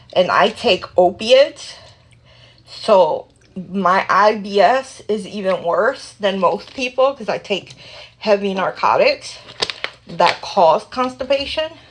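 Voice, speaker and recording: Over noticeable background noise, a woman speaks very slowly at a medium pitch with lively intonation. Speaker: vlogger. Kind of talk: casual chat. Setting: at home at night, 3am. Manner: rambling, informal.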